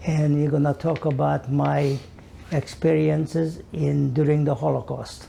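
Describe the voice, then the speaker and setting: With a Hungarian accent, a man talks at a fairly slow pace. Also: very even loudness. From Hungary. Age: 80s+. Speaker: Holocaust survivor. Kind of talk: oral history interview. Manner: halting.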